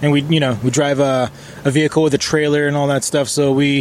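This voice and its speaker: A fairly high-pitched man at a fairly quick pace, with noticeable background noise. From Israel. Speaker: rock band member. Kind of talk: interview.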